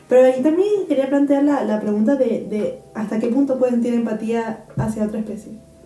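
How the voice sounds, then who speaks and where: Over noticeable background noise and audible room echo, a woman talks at a moderate pace in a fairly high pitch with fairly even intonation. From Canary Islands, Spain. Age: 20s. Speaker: podcast co-host, biochemistry student. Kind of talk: casual chat.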